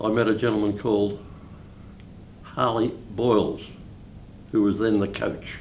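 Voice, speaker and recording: A man with a fairly low pitch speaks at a moderate pace, leaving long, frequent pauses, with audible room echo around him. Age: 80s+. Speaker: bowls club life member. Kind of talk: interview.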